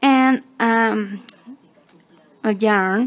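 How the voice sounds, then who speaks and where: A woman with a non-native accent speaks at a fairly high pitch. Her pitch varies in an ordinary way. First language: not English. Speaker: crochet tutorial maker. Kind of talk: tutorial. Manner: halting, with many fillers.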